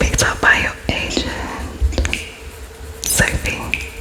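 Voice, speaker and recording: Someone whispers over music in the background. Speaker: ASMR creator. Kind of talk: ASMR roleplay interview, whispered and close-up.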